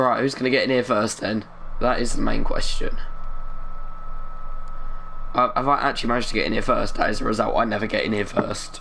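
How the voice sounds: With an East London accent, a man talks at a fairly quick pace in a fairly low, fairly bright voice with vocal fry, fairly even intonation and long, frequent pauses.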